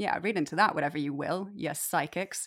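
An ordinary speaking voice at a fairly quick pace, captured on a very clean recording with a silent background. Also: woman. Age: 30s. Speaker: actor and photographer. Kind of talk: casual chat.

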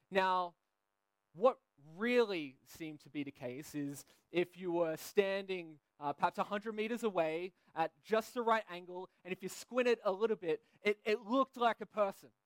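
In a dry, close sound with no echo, a man with an Australian accent speaks at high pitch and a moderate pace with ordinary pitch variation. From Australia, Sydney. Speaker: pastor. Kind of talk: sermon. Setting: church.

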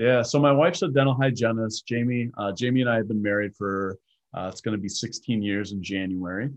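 A man's unremarkable speaking voice at medium pitch, with an American accent, ordinary pitch variation and a fairly quick pace. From Wisconsin, Milwaukee area. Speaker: franchise owner, former pastor. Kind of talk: casual interview chat.

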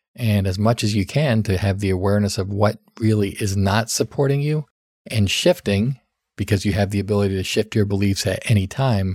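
Heard as a dry, close sound with no echo, a man talks in a normal speaking voice at a fairly low pitch and a moderate pace, with ordinary pitch variation. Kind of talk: solo podcast talk giving advice.

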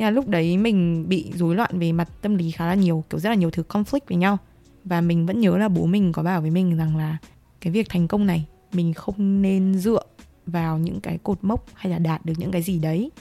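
With music in the background, a woman with a fairly low pitch talks fairly quickly in a fairly even intonation. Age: 20s. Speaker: podcast co-host, university student. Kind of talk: casual chat.

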